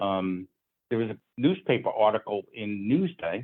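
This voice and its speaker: A man with an American accent, medium in pitch, with lively intonation. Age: 60s. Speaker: square dance caller's descendant, interviewee. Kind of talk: interview.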